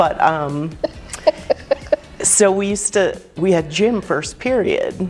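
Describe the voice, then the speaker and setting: A woman with an American accent speaks at a very slow pace, medium pitch, and ordinary pitch variation. Music plays in the background, and room echo is audible. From New Jersey. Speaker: travel agent. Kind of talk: casual chat. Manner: animated.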